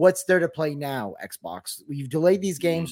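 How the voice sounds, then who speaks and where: With a plain, everyday voice, a man speaks at a moderate pace in a fairly high pitch with ordinary pitch variation. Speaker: gaming podcast host. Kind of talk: casual chat.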